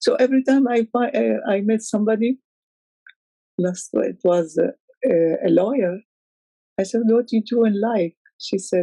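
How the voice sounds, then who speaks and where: In an Arabic accent, a woman speaks at a fairly high pitch with a dark, mellow tone and very even loudness. Her long, frequent pauses sit in a dry, close sound with no echo. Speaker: poet. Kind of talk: interview. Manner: halting.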